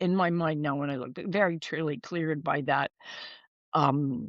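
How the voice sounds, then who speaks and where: A woman speaks at a moderate pace in a dry, close recording with no echo. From US, Idaho. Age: 70s. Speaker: author and spiritual writer. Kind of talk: podcast interview, personal storytelling.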